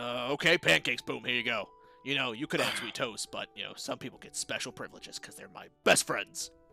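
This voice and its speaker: Over clear background music, a man puts on a character voice at a medium pitch and a fairly quick pace. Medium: actual play. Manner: casual, rambling.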